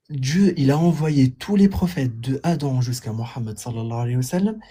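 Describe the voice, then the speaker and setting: A man with a dark, mellow tone and fairly high pitch speaks at a fairly quick pace. His voice is somewhat breathy and makes very wide pitch swings. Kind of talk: heated debate. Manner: halting, repetitive.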